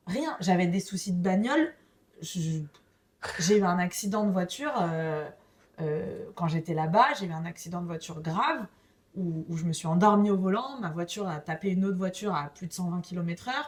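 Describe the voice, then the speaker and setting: The speaker is somewhat breathy, with ordinary pitch variation and a moderate pace. Long, frequent pauses break up the talk, and the loudness swings widely. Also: woman, fairly low pitch for a woman. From France. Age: 30s. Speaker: podcast guest. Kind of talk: casual interview. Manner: animated.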